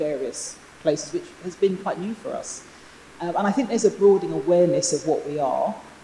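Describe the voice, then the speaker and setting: A woman talks at a fairly low pitch. Noticeable background noise can be heard. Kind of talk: panel discussion. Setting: stage with audience. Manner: loud.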